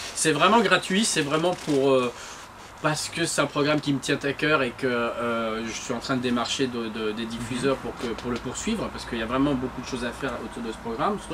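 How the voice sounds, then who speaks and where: Noticeable background noise sits behind a man talking at a fairly quick pace. His medium pitch shows ordinary variation. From northern France (Lille, Armentières). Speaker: television creator. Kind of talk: interview.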